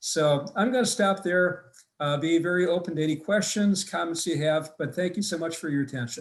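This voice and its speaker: With an American accent, a man talks at a fairly quick pace in a high pitch with ordinary pitch variation. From US Midwest, Wisconsin. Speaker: family physician, vaccine expert. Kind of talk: webinar lecture; Q&A answers. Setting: online webinar.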